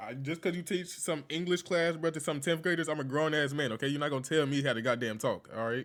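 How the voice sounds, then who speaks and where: With an American accent, a man talks at a very fast pace with hardly any pauses, his fairly high pitch showing ordinary variation. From North Carolina. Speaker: online troll streamer. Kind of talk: casual chat.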